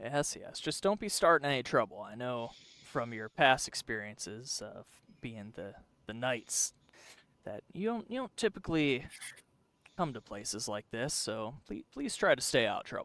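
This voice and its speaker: A man puts on a character voice at a medium pitch and a moderate pace, with long, frequent pauses. The recording is very clean, with a silent background. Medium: actual play.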